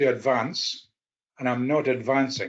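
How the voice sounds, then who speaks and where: The speaker has a Scottish accent. The background is quiet. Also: man. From Scotland. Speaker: policy analyst. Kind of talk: conference presentation. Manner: halting.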